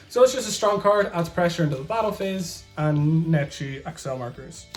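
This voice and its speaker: Music plays in the background as a man speaks in a high pitch with lively intonation. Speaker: card game deck reviewer. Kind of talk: casual talk to camera.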